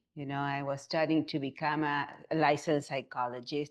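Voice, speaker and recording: A woman speaks with an Argentinian accent. The background is quiet. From Argentina. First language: Spanish. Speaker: somatic movement therapist. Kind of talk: interview.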